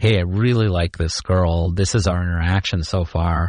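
A man with an American accent talks at a moderate pace in a very deep, low voice, his intonation fairly even. The background is quiet. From Chicago. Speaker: comedian and technology consultant. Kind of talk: casual chat.

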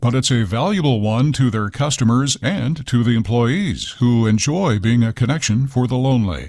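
Here is a man with a normal speaking voice. His pitch is medium and his pace moderate. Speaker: food business reporter. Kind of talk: radio segment.

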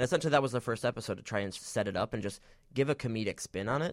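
A man with an American accent speaks at a very fast pace with lively intonation and a medium pitch. The recording is very clean and silent in the background, with a dry, close sound and no echo. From Michigan, Detroit area. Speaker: web series producer and actor. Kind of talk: casual interview.

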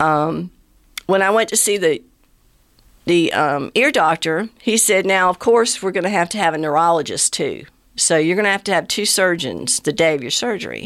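At a moderate pace, a woman talks in a fairly low pitch with ordinary pitch variation, on a very clean recording with a silent background. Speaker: brain tumor patient sharing her story. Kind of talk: personal testimony in interview. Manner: halting, many fillers.

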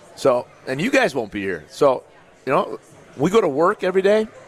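The voice swings very widely in pitch at a fairly quick pace. Background noise is noticeable. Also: man. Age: 40s. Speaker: former college football player, radio co-host. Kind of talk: live sports talk radio. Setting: live broadcast from a pub.

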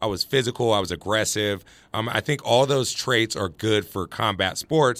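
A man talks at a moderate pace in a fairly low pitch, with ordinary pitch variation. It is a normal speaking voice. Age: 20s. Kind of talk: interview. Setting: studio.

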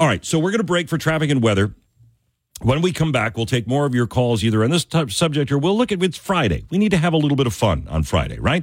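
A man with a fairly high pitch and vocal fry talks at a very fast pace, with very wide pitch swings and very even loudness. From upstate New York. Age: 50s. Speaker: fill-in radio talk show host. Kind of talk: call-in talk radio.

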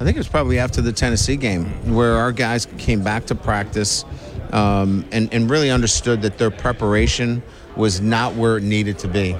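A fairly low-pitched man's voice at a moderate pace, very even in loudness, with ordinary pitch variation over noticeable background noise. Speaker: college football coach. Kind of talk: radio interview. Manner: halting.

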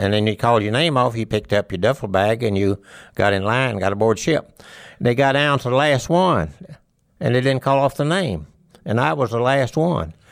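A man's medium-pitched voice with lively intonation, in a very clean recording over a silent background. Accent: Mississippi. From US South, northeast Mississippi. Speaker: war veteran. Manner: chuckling warmly at old memories.

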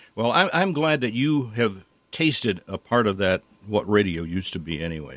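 A man's fairly low voice with very wide pitch swings at a moderate pace. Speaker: retired radio morning show host. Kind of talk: casual chat. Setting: studio.

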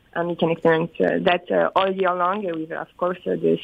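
A woman speaks with a French accent at a moderate pace. Her pitch is fairly low. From France. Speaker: resort company PR manager. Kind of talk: interview. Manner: halting.

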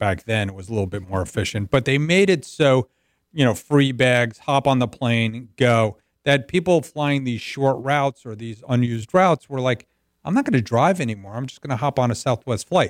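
A man with an American accent has an ordinary speaking voice, lively intonation and a moderate pace. The sound is dry and close with no echo, on a very clean recording with a silent background. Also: medium pitch for a man. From US Northeast, North Jersey. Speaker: business advisory CEO. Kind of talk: radio sports talk interview. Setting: radio show.

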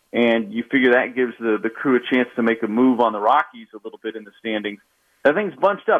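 Speaking at a fairly quick pace, a man has a plain, everyday voice and medium pitch. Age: 30s. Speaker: baseball broadcaster. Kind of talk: casual interview.

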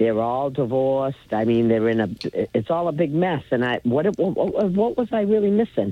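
A normal speaking voice from a man, medium in pitch, with lively intonation at a moderate pace. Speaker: caller. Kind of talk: call-in talk radio. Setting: phone call.

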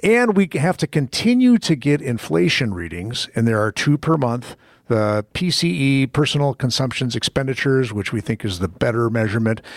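On a very clean recording with a silent background and a dry, close sound with no echo, a man with an unremarkable speaking voice talks at a moderate pace and medium pitch, with hardly any pauses. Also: lively intonation. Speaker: radio host. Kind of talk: radio host patter. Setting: radio studio. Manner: chatty, lively, banter-heavy.

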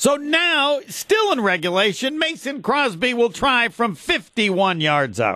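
A man's raised, projected voice, extremely high-pitched, with very wide pitch swings and a very slow pace. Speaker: sports radio host. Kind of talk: casual radio interview.

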